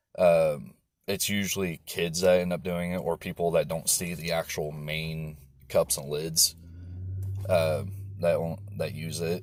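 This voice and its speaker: With a very deep, low pitch and ordinary pitch variation, a man speaks at a fairly slow pace in a very clean recording with a silent background. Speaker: vlogger. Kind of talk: casual personal vlog storytelling. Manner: halting, stumbling speech.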